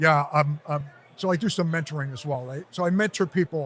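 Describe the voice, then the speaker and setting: A man's fairly high-pitched, ordinary speaking voice at a moderate pace, with ordinary pitch variation. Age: 60s. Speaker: real estate developer. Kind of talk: interview. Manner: casual.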